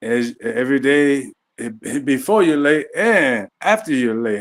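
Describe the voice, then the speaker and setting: A man with a fairly high pitch talks at a moderate pace with lively intonation and big swings in loudness. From US Midwest, Chicago far south side. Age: 60s. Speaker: handyman. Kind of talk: casual interview. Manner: halting.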